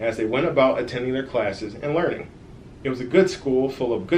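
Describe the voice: Someone reads aloud. The delivery is plain.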